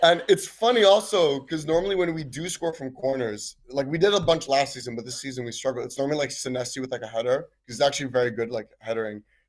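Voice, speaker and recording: A man with an American accent talks at a very fast pace and a fairly high pitch. His intonation is lively, and his loudness swings widely. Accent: American-sounding. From Switzerland. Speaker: caller, football fan. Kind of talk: casual chat.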